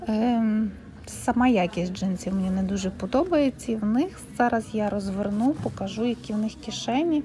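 Light noise runs behind a woman who speaks at a moderate tempo, her pitch varying in an ordinary way. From Ukraine. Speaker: vlogger. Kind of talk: fitting-room shopping vlog. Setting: second-hand shop fitting room. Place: shop. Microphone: phone near.

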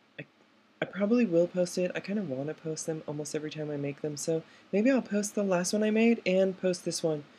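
Her fairly low pitch shows ordinary variation as the woman talks. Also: fairly quick pace. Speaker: transgender woman in voice training. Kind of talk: casual talk to camera. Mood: candid, slightly emotional. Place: home room. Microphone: webcam.

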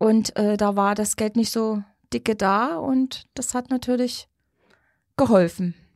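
In a very clean recording with a silent background and a dry, close sound with no echo, a woman with a fairly high pitch speaks very slowly with fairly even intonation and long, frequent pauses. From Saxony, Radebeul near Dresden. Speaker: schlager singer. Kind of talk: interview.

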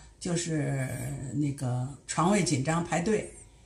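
A woman at a very slow pace, with audible room echo. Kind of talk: interview answer. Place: home room. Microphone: camera far.

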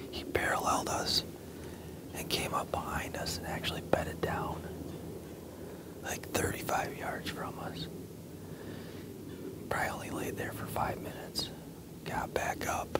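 Over loud background noise, a man speaks at a fairly slow pace with long, frequent pauses. The sound itself is dry with no echo. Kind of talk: hushed hunting recap to camera. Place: forest.

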